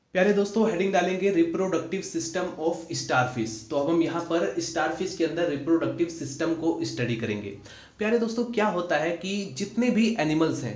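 The speech moves at a fairly slow pace, with audible room echo. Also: man, high pitch for a man. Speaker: biology tutor. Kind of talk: lecture.

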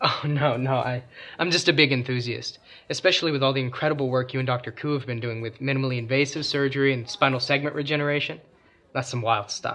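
With a bright, sharp tone, a man talks at a very fast pace. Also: fairly even intonation. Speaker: guest. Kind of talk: scripted film dialogue, casual dinner talk. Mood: modest, eager, friendly. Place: home room.

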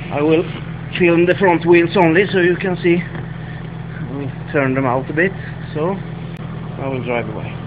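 Over noticeable background noise, a man with a Swedish accent and a fairly high pitch speaks at a fairly slow pace, with long, frequent pauses and fairly even intonation. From Sweden. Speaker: car mechanic / hobbyist. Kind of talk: technical demonstration to camera. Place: garage. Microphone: phone near.

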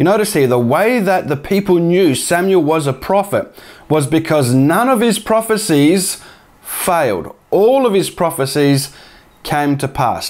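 Pitch swings very widely as a man talks at a moderate pace. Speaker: bible teaching youtuber. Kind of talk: sermon-like commentary. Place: home room. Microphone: lapel.

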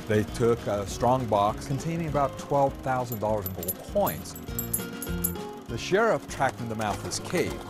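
Clear music sits in the background. Over it, a man speaks at a moderate pace. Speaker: cave tour guide. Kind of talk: interview answer. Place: tunnel cave. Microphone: lapel.

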